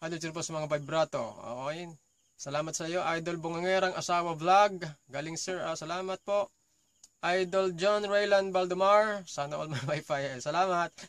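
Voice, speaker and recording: A man's high-pitched voice at a moderate pace, fairly even in intonation, with a dry sound and no echo. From Philippines. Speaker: vlogger; vocal coach vlogger. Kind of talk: casual chat. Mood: friendly, thankful. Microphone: phone near.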